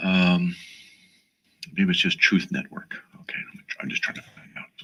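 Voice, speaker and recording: A soft-spoken man talks with big swings in loudness. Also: moderate pace. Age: 60s. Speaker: radio host. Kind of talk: call-in radio show.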